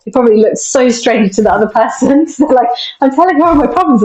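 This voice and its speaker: Very fast and high-pitched, a woman with a British accent talks with lively intonation. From UK. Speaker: mental performance coach. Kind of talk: casual interview.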